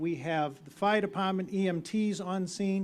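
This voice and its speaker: A man speaks at a high pitch with a Boston accent. The recording is very clean, with a silent background. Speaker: town meeting moderator. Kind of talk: public meeting address. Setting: outdoors.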